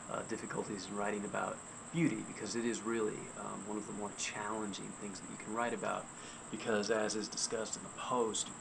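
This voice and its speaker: A quiet, fairly low male voice with monotone, flat intonation at a fairly quick pace, amid noticeable background noise and audible room echo. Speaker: freelance writer and blogger. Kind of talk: casual video blog talk. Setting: outdoors in backyard at night. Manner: quiet, hushed; hesitant, with fillers and restarts.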